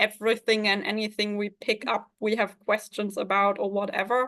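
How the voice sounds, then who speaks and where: Speaking at a moderate pace with a German accent, a woman uses a fairly high pitch and monotone, flat intonation. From Germany, Hamburg. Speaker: fantasy author. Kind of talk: interview. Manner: halting.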